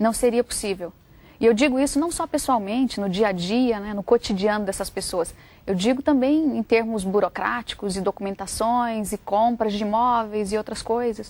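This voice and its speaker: A woman with a Brazilian accent, a fairly high pitch, ordinary pitch variation and a moderate pace on a very clean recording with a silent background. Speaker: author. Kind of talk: interview.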